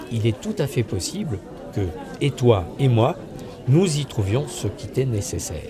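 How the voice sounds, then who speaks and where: A man's lively intonation at a moderate pace, with crowd noise in the background. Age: 60s. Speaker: life coach. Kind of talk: promotional self-presentation.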